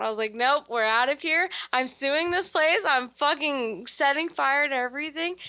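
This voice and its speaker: At a moderate pace, a woman projects a raised voice, high in pitch with lively intonation. Her tone is bright and sharp, and the recording is very clean with a silent background. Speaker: podcast co-host. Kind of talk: casual chat. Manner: loud; animated.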